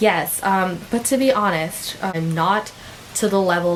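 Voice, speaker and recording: A woman speaks with an American accent. Noticeable background noise runs under her voice. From United States. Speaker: vlogger. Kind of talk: casual vlog talk. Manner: casual with many fillers.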